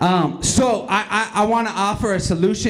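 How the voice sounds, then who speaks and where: At a moderate pace, a man is talking. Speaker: slam emcee. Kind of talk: casual, joking emcee banter between poets. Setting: stage with audience. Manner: relaxed, jokey, conversational, with hesitant fillers. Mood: joking, playful. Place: hall.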